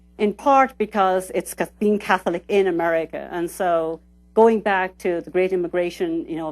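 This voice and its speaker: Over music in the background, a woman talks fairly quickly at a medium pitch with fairly even intonation. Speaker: sociologist lecturer. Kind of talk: lecture. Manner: fast.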